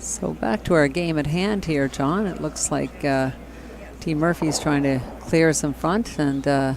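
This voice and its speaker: At a fairly slow pace, a man talks with ordinary pitch variation against noticeable background noise. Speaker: curling commentator. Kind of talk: live commentary. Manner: quiet at first, then louder.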